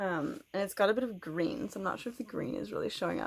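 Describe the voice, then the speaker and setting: A woman with a western Canadian accent, vocal fry, ordinary pitch variation and a fairly quick pace. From Canada. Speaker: knitting podcaster. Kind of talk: casual vlog chat. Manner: fast.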